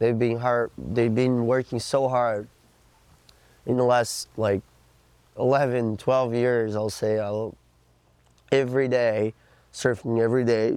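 With a Portuguese accent, a man speaks at a fairly slow pace and medium pitch in a monotone, flat way, leaving long, frequent pauses. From Brazil, Florianópolis. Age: 20s. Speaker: pro surfer. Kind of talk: interview.

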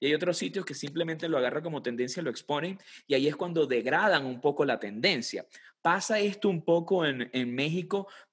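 A man with a plain, everyday voice, fairly high in pitch, lively intonation, a fairly quick pace and a quiet background. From Venezuela. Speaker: podcast host. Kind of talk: interview conversation.

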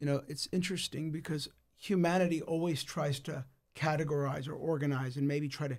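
Somewhat breathy and fairly high in pitch, a man with an American accent talks at a moderate pace with fairly even intonation. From United States. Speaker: pastor. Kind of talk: casual chat. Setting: studio.

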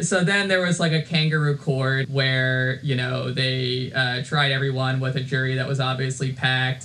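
Over noticeable background noise, a man at a medium pitch talks at a moderate pace with very even loudness, fairly even intonation and hardly any pauses. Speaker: podcast co-host. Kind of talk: casual chat. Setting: home recording with new microphone. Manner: many filler words.

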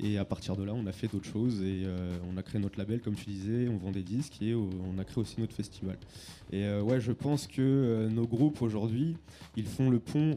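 A man with a fairly low pitch and a dark, mellow tone speaks at a moderate pace with ordinary pitch variation. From Lyon suburbs, France. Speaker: music label and festival organizer. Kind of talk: panel discussion.

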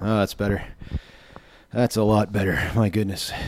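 His voice is fairly low in pitch, with a dark, mellow tone to this man's speech. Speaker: podcast host. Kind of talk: casual chat. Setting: home office.

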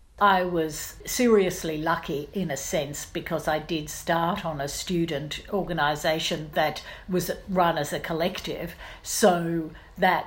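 A woman with an Australian accent speaks at a fairly slow pace, her pitch fairly low and her intonation fairly even. Her voice is somewhat breathy, and there is audible room echo. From Australia, Brisbane. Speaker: investigative journalist. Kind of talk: interview.

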